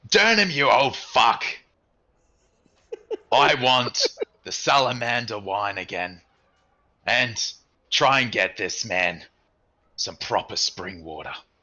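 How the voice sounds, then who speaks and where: A man puts on a raspy, booming character voice at medium pitch, speaking at a fairly slow pace with lively intonation, big swings in loudness, and long, frequent pauses. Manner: loud, overwhelming yell.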